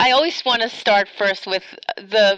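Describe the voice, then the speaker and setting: The sound is dry and close, with no echo. It is an ordinary speaking voice. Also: woman. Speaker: podcast interviewer. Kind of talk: interview.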